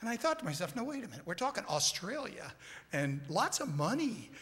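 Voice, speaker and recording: The man's voice moves in very wide pitch swings. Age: 60s. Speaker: church member in scripture memory group. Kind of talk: on-stage interview testimony.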